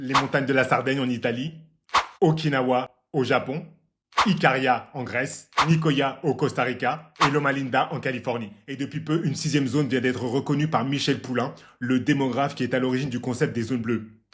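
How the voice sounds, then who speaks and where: At a fairly quick pace, a man speaks with a somewhat breathy voice at a medium pitch. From Martinique roots. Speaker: health and longevity YouTuber. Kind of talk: casual explainer vlog. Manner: animated.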